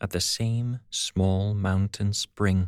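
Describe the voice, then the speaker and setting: At a very slow pace, a man with a British accent and a fairly low pitch speaks on a very clean recording with a silent background and a dry, close sound with no echo. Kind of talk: audiobook fable reading.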